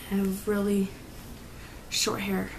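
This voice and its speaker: Noticeable background noise and audible room echo surround a woman who speaks at a fairly slow pace in a monotone, flat intonation. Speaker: vlogger. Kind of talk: casual vlog monologue. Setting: at home at night. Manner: hesitant, many filler ums.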